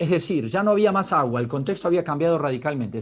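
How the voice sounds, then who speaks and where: Speaking at a fairly quick pace with an Argentine accent, a man uses a fairly high pitch and lively intonation. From Argentina. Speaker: business leader. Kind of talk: talk.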